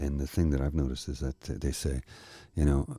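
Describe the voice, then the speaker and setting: Speaking at a fairly quick pace, a man with a Canadian accent has a very deep, low pitch, a dark, mellow, soothing and calm tone, and vocal fry. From Canada. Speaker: narrator. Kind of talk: casual talk to camera. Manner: soothing, calm.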